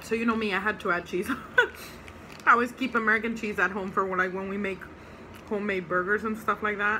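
A woman speaks very fast in a monotone, flat delivery. There is light background noise. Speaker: food reviewer. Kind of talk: casual vlog chat. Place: home room. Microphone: phone near.

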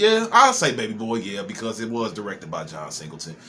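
A man speaks over light background noise. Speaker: movie reaction creator. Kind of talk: casual commentary. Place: home room. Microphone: webcam.

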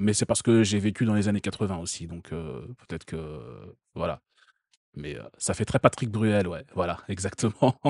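Pausing long and often, a man with a fairly low voice and vocal fry speaks at a fairly slow pace with ordinary pitch variation and big swings in loudness, the sound dry and close with no echo against a quiet background. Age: 30s. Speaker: streamer reacting to a video. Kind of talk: casual live-stream commentary.

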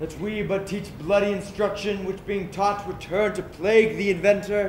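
A high-pitched man speaks at a fairly slow pace. The room echo is audible and there is light background noise. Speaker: stage actor. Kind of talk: dramatic verse soliloquy. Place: stage. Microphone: camera far.

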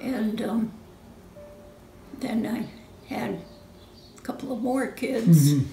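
There is music in the background and audible room echo. A woman with an American accent talks with lively intonation. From Connecticut. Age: 80s+. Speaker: retired nursery school teacher. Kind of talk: interview answer. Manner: whispered. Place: home room.

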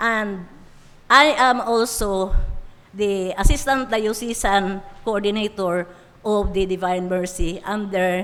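With audible room echo, a woman speaks at a very slow pace with long, frequent pauses, her medium-pitched voice showing ordinary pitch variation. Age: 70s. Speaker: senior citizens office head. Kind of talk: formal speech at council session. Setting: city council session hall.

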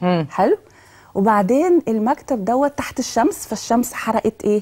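A woman talks at a fairly high pitch in a quiet setting. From Egypt. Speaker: education specialist; guest. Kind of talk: TV talk show interview. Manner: animated. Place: studio.

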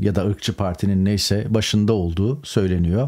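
The man talks at a moderate pace against a quiet background. His pitch sits fairly low, with a dark, mellow tone. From Turkey. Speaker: political commentator, journalist. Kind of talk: political news commentary monologue. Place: home room.

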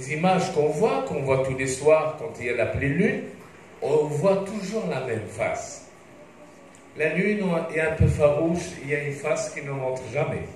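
Speaking at a moderate pace with long, frequent pauses, a man is heard amid light background noise and audible room echo. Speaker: presenter. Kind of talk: lecture. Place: stage.

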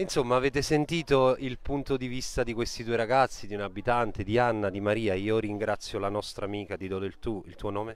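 Medium-pitched man at a fairly quick pace with hardly any pauses, ordinary pitch variation and a dry sound with no echo. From Campania, Italy. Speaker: web TV reporter. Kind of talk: on-location live report. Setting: outdoors on a beach. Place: beach. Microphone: handheld.

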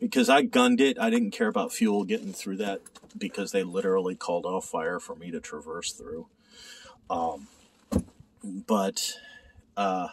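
Loudness swings widely as a man speaks at a moderate pace. He leaves long, frequent pauses over light background noise. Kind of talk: casual vlog chat. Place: boat. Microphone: phone near.

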